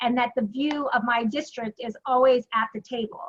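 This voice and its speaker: A woman speaks at a high pitch with ordinary pitch variation. The sound is dry and close, with no echo. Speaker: county commissioner. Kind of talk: candidate forum statement. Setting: chamber luncheon with audience. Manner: fast.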